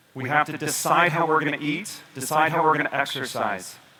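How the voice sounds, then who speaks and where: Speech moves at a moderate pace over noticeable background noise. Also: man. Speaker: doctor giving a health presentation. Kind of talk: presentation to an audience. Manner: animated, motivational; lowered voice for drama.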